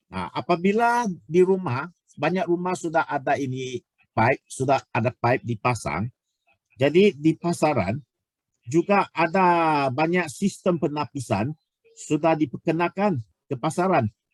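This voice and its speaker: Speaking at a fairly slow pace, a man with a fairly high pitch uses lively intonation, and the sound is dry and close with no echo. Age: 60s. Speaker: product presenter. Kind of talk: sales pitch. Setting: online webinar. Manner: halting.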